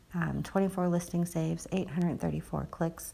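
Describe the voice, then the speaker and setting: A woman whispering at a fairly quick pace. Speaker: social media marketer and online seller. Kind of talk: screen-share tutorial. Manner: casual, hesitant with fillers.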